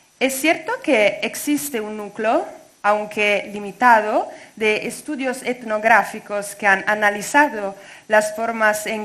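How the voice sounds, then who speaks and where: At a very slow pace, a woman with an Italian accent speaks in a bright, sharp tone with a fairly high pitch and ordinary pitch variation. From Italy. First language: Italian (speaking Spanish). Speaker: doctoral researcher. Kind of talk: academic talk read aloud. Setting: conference. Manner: halting.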